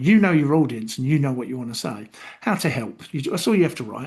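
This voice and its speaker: Against a quiet background, a man speaks with a London accent. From London, England. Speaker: YouTube content tutor. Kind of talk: screen-share tutorial. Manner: casual with many fillers.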